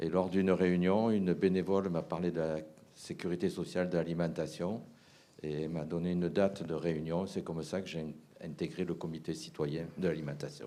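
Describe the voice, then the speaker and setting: With a very deep, low pitch and a dark, mellow tone, a man speaks at a moderate pace in fairly even intonation. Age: 60s. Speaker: charity volunteer. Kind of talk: recorded testimony.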